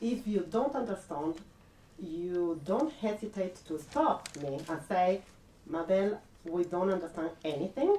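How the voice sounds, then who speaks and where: A woman with a non-native accent speaks at a fairly slow pace with lively intonation, amid noticeable background noise. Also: medium pitch for a woman. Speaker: art researcher and network coordinator. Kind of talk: public lecture. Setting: public talk with audience. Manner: halting, many fillers.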